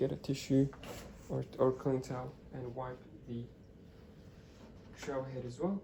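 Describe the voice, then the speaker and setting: This man's voice is somewhat breathy, with a dark, mellow tone. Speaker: coffee machine seller. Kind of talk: product demonstration. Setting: at home, early morning. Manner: hesitant, many fillers; whispering.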